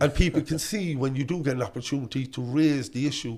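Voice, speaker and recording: A Cork accent on a very clean recording with a silent background. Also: man. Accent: Cork Irish. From Ireland, Cork northside (Knocknaheeney). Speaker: politician. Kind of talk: casual chat. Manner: quivering at times.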